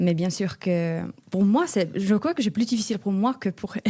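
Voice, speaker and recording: A woman's dark, mellow voice comes at a fairly slow pace. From Finland, small town north of Helsinki. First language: Finnish (speaking French). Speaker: European volunteer. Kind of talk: interview. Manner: halting, hesitant.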